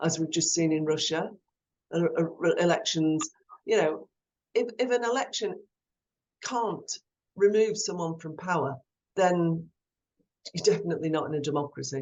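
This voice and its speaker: A woman with an English accent and a fairly low pitch talks at a moderate pace, with ordinary pitch variation and long, frequent pauses. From England (London area), Irish parents. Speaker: former politician, guest speaker. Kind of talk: Q&A talk on video call.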